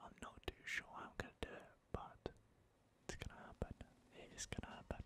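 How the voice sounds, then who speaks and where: Someone is whispering. The pace is fairly quick. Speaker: gaming ASMR creator. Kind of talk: gameplay commentary. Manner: whispered.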